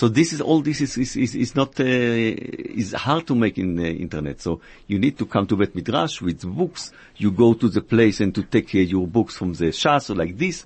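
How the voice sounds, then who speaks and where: A man with an Israeli accent speaks at a moderate pace and medium pitch, his voice making very wide pitch swings. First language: Hebrew. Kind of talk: radio interview. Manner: halting.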